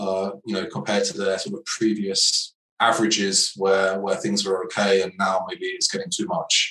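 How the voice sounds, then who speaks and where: Speaking at a moderate pace, a man goes on with hardly any pauses. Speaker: podcast host. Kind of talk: interview, conversational. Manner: hesitant, halting with fillers.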